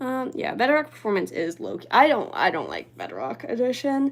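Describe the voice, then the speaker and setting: A soft-spoken woman talks. Vocal fry runs through her voice. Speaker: livestreamer. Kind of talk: casual chat. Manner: halting.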